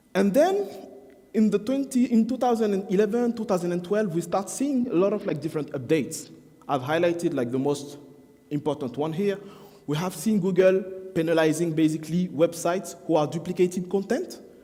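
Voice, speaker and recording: With a French accent, a man speaks at a fairly quick pace in a high pitch and lively intonation. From France. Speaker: SEO marketing expert. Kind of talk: conference talk. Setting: stage with audience.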